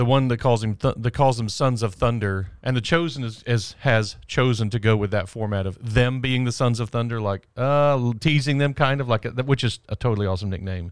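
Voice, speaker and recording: An ordinary speaking voice belongs to a man of medium pitch with ordinary pitch variation, talking at a fairly quick pace. The sound is dry and close with no echo, on a very clean recording with a silent background. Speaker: pastor. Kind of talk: casual chat.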